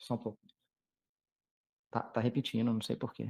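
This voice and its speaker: This man's medium-pitched voice is somewhat breathy and dark and mellow, moving at a moderate pace in a dry, close sound with no echo. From Brazil, Minas Gerais. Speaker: periodontist lecturer. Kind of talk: lecture. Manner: halting, many fillers. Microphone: echo, audio doubling.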